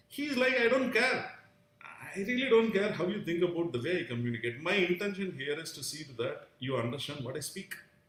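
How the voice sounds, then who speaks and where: A man speaks at a moderate pace with very wide pitch swings. Room echo is audible. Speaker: vlogger sharing personal views. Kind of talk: live stream monologue. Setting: live stream. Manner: halting, many fillers.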